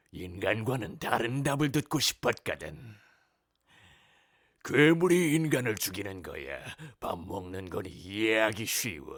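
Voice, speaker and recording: Over a very clean recording with a silent background, a man in a put-on character voice speaks at a fairly slow pace and medium pitch, leaving long, frequent pauses. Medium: voice reel. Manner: eerie, brooding.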